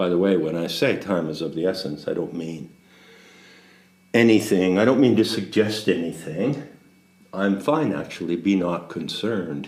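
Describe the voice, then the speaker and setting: Speaking with lively intonation, a man uses a very deep, low pitch. Room echo is audible. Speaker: spiritual teacher. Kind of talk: rambling monologue. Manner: measured cadence with pauses; deliberate silences.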